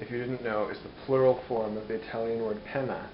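A man's fairly even intonation against noticeable background noise. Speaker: home cooking vlogger. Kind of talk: casual vlog chat. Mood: playful, joking. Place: kitchen. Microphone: phone near.

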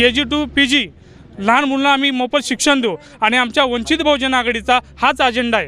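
Using a raised, projected voice at an extremely high pitch, a man speaks with fairly even intonation and very even loudness. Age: young. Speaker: party worker. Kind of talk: interview.

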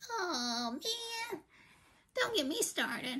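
A cartoonish character voice, female-sounding and extremely high in pitch, leaps through very wide pitch swings. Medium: puppet. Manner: animated, ranting.

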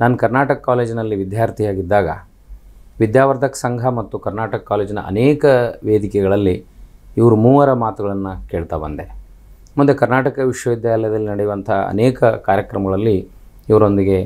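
Speaking at a fairly low pitch, a man has a dark, mellow tone and ordinary pitch variation. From northern Karnataka, India (Koppal district); Karnataka, India. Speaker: writer and college principal. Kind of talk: interview. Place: studio. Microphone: lapel.

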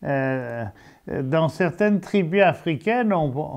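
Against quiet surroundings, a man is talking. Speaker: interviewer, program host. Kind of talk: casual talk to camera. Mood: calm, friendly. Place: studio. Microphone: lapel.

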